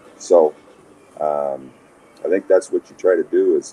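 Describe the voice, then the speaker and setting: Noticeable background noise sits behind a man with an American accent, recorded in a dry, close sound with no echo. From Montana, US. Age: 60s. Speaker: former basketball player and coach. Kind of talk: podcast interview.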